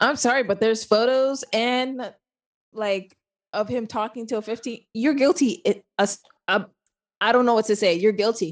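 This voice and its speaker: With an American accent, a woman talks at a moderate pace and a fairly high pitch, her pitch varying in an ordinary way. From Southern California. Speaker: podcast co-host. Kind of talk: casual chat. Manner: animated.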